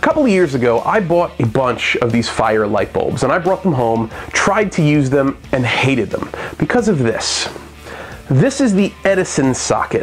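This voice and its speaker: A man talks at a moderate pace while music plays faintly behind him. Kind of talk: tutorial. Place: workshop.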